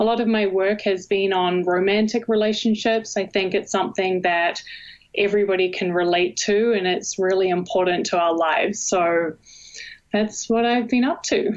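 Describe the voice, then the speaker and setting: Speaking in a New Zealand accent, a woman keeps a moderate pace, a medium pitch, fairly even intonation and very even loudness. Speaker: university professor, communication researcher. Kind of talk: interview.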